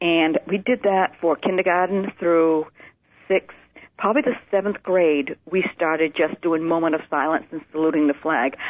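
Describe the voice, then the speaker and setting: A woman with an American accent uses an ordinary speaking voice, fairly low in pitch, at a moderate pace with fairly even intonation. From Maine, US. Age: 60s. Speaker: nurse. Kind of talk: interview testimony.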